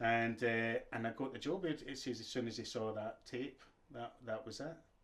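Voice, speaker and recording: A man with a Glaswegian accent talks at a moderate pace in a medium-pitched voice. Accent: Glaswegian Scottish. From Scotland, Glasgow. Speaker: actor. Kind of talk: casual interview chat. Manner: animated.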